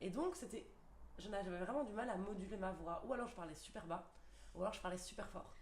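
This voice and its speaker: A woman at a fairly quick pace, ordinary pitch variation, and audible room echo. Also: medium pitch for a woman. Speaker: primary school teacher. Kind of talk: casual chat. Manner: hesitant, many fillers.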